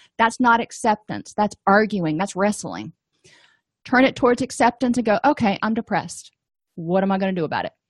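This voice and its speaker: Against a quiet background with a dry, close sound and no echo, a woman speaks fairly quickly in a somewhat breathy voice, with a fairly high pitch and ordinary pitch variation. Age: 40s. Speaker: therapist and educator. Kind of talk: lecture.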